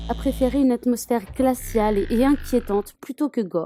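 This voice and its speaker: Music plays in the background as a woman speaks. Her pitch variation is ordinary. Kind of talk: horror film summary narration.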